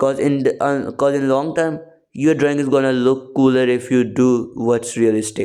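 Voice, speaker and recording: A man's dark, mellow, medium-pitched voice with a non-native accent, at a moderate pace, with fairly even intonation. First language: not English. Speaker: art tutorial creator. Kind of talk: tutorial.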